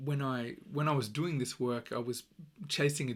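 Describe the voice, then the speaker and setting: Speaking at a moderate pace with an Australian accent, the voice comes through a very clean recording with a silent background. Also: man. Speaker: podcast host. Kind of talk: solo podcast monologue. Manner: many fillers and repetitions.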